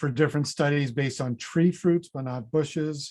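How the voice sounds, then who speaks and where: A normal speaking voice from a man, pitched fairly high and paced moderately. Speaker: fruit breeding researcher, professor. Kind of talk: conference presentation. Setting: online conference session.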